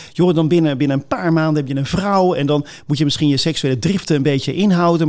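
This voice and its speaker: Here a man talks at a very fast pace with hardly any pauses. His pitch is fairly high, with ordinary pitch variation. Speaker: pastor. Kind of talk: casual chat.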